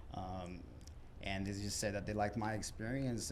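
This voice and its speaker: In an American accent, the speaker goes at a fairly quick pace with ordinary pitch variation and audible room echo. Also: man. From southern California desert. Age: 30s. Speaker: cannabis store manager. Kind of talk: casual interview. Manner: hesitant, many fillers.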